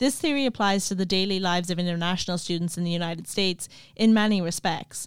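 In a western Irish accent, a woman with a medium pitch talks at a very fast pace with ordinary pitch variation, on a very clean recording with a silent background. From Ireland, County Clare. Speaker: podcast host, graduate student. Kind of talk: scripted narration.

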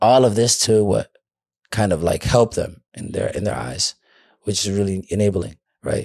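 A man speaks with vocal fry and ordinary pitch variation, leaving long, frequent pauses. The sound is dry and close, with no echo. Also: fairly low pitch for a man, moderate pace. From Minneapolis, Minnesota (Cedar Riverside). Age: 20s. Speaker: addiction recovery advocate. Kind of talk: casual interview. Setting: studio.

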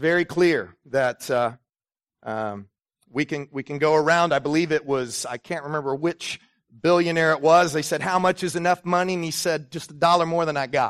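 The sound is dry and close with no echo, carrying a man's fairly high voice at a moderate pace. He has a normal speaking voice with ordinary pitch variation. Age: 40s. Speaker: pastor. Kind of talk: sermon.

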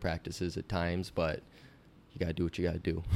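Very deep, low male voice, monotone and flat, at a fairly quick pace in a very clean recording with a silent background. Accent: American. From US Midwest, Iowa. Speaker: swim coach. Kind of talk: interview. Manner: not loud.

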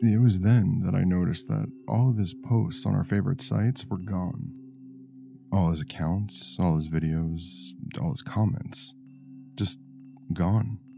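An anxious man with a fairly low pitch speaks at a fairly slow pace, his intonation lively and broken by long, frequent pauses, with music in the background. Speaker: horror story narrator. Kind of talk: creepypasta horror narration, first person. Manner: uneasy, anxious delivery that builds dread.

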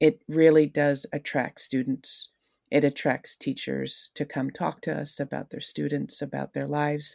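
A woman speaks with an American accent at a fairly slow pace. The sound is dry and close with no echo, very clean, with a silent background. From US, Long Island, New York. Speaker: school counselor. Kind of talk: casual interview.

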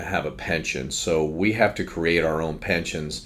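Audible room echo surrounds the recording, along with noticeable background noise. A man talks through it. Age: 50s. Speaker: financial advisor. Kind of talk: casual chat. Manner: halting, many fillers.

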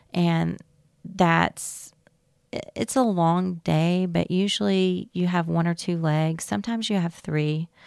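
Speaking very slowly in a Southern US accent, a woman with a fairly low pitch and ordinary pitch variation comes through on a very clean recording with a silent background. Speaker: flight attendant. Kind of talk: interview.

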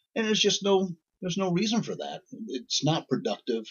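A somewhat breathy man with a Midwestern American accent speaks at a moderate pace. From central Indiana. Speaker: accountant and podcast co-host. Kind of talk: casual chat.

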